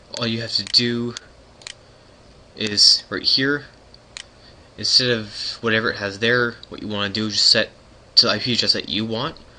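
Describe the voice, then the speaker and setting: Against noticeable background noise, a man talks at a medium pitch and a moderate pace. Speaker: gaming tutorial youtuber. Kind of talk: tutorial.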